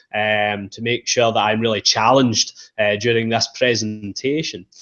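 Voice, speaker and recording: A man speaks at a moderate pace and medium pitch with a strong Scottish accent. His intonation stays fairly even. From Scotland. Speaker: university representative. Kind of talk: presentation. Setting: online webinar.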